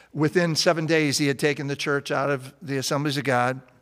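A man's fairly high-pitched, unremarkable speaking voice at a fairly quick pace, with fairly even intonation, on a very clean recording with a silent background. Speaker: pastor. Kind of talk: testimony.

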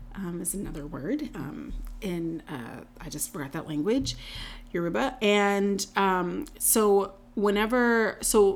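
Speaking very slowly in an American accent, a woman at medium pitch uses very wide pitch swings and big swings in loudness. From North Carolina. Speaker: podcast host. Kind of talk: casual chat.

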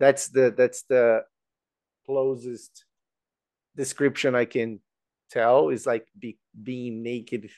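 A man with a Brazilian accent speaks very slowly, with long, frequent pauses, fairly even intonation and big swings in loudness. The sound is dry and close with no echo, and the background is quiet. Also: medium pitch for a man. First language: Portuguese. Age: 40s. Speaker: employment specialist. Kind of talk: casual interview. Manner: halting, many fillers and repeated words.

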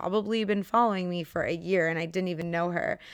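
A woman at a medium pitch, fairly quick pace and fairly even intonation. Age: 20s. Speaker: podcast host and wedding photographer. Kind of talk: casual chat.

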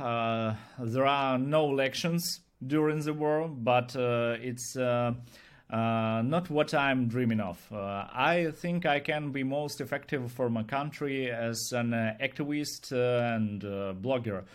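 In a Ukrainian accent, a man talks at a very slow pace with ordinary pitch variation. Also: medium pitch for a man. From Ukraine. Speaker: YouTube blogger. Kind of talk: interview. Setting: video call. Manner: halting.

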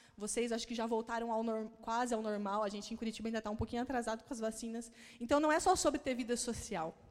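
Her pitch is fairly high. This woman speaks at a very fast pace. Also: ordinary pitch variation. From Paraná, Brazil (Maringá). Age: 30s. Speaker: pastor. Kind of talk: sermon.

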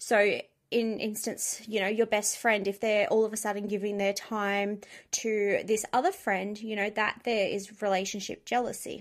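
A woman talks at a moderate pace in a very clean recording with a silent background. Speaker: podcast host. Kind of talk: solo advice monologue. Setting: home recording with dogs in room. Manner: blunt and direct.

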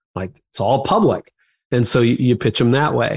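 In a very clean recording with a silent background, a man speaks at a moderate pace with vocal fry. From Canada. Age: 50s. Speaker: pastor, author and podcaster. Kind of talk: interview conversation.

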